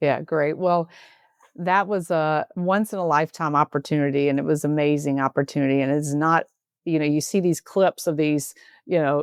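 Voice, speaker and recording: In a Southern US accent, a woman speaks at a very deep, low pitch with fairly even intonation and very even loudness. The sound is dry and close with no echo, against a quiet background. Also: moderate pace. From US South. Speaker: healthcare executive, former nurse. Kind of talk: interview conversation.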